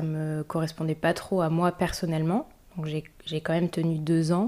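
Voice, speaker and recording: A woman speaks at a moderate pace in a fairly low pitch with a dark, mellow tone. The recording is very clean, with a silent background. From Paris region, France. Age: 20s. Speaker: bee conservation project manager. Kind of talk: interview testimony. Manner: hesitant, many fillers.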